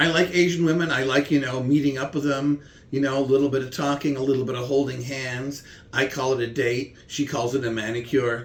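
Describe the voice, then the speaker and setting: A man talks fairly quickly with fairly even intonation while noticeable background noise carries on. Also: medium pitch for a man. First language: German. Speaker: comedian. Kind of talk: casual chat with comedy bits.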